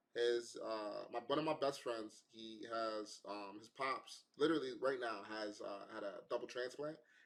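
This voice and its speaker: A man's medium-pitched voice at a fairly slow pace, with fairly even intonation, big swings in loudness and hardly any pauses. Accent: New York. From New York. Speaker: podcast host. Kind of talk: casual interview.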